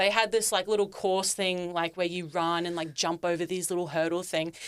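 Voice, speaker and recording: In a very clean recording with a silent background, a woman rattles along at a very fast pace in a fairly low, monotone, flat voice. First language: Turkish. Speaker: fitness influencer and content creator. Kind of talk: casual podcast interview.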